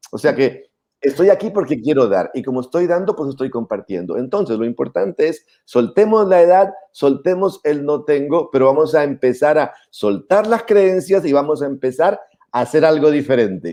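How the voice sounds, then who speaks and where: This man has a dark, mellow tone and fairly high pitch. His pace is moderate. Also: lively intonation. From Colombia, Putumayo. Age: 60s. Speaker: YouTube host, personal finance speaker. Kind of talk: casual chat.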